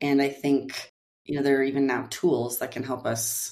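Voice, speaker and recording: With an American accent, a woman of very deep, low pitch talks at a moderate pace in a monotone, flat intonation. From US Upper Midwest, near Fargo, North Dakota. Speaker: marketing executive. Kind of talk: interview.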